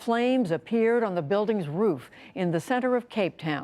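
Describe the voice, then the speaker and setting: A woman with a plain, everyday voice at a moderate pace, on a very clean recording with a silent background. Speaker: television news presenter. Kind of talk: broadcast news wrap read.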